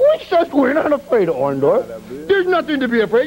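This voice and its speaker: A man's voice against noticeable background noise. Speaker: professional wrestler. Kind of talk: pro wrestling promo.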